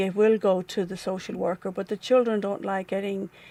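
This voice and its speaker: A woman's medium-pitched voice in an Irish accent, monotone and flat, on a very clean recording with a silent background. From Ireland. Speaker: nonprofit staff member and former volunteer. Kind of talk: interview. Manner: halting.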